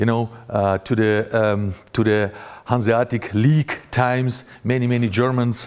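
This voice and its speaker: A man with a Russian accent, medium pitch, fairly even intonation and a fairly slow pace. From Russia (Grozny, Chechnya). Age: 40s. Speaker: journalist. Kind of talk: conference talk. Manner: halting, many fillers.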